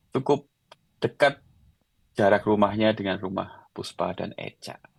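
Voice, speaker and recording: In a Javanese accent, a man speaks at a fairly slow pace with a fairly low pitch and ordinary pitch variation. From Central Java, Klaten; long in Yogyakarta. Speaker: designer and singer-songwriter, blogger. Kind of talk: casual podcast interview.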